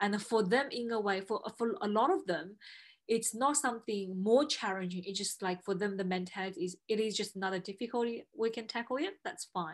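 This woman has a normal speaking voice with a fairly high pitch. Her pitch variation is ordinary. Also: fairly quick pace. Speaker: podcast host. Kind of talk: interview, friendly conversation.

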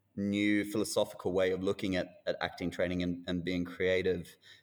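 The man speaking has an Australian accent. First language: not English. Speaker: actor and screen industry manager. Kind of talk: interview conversation. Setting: remote call.

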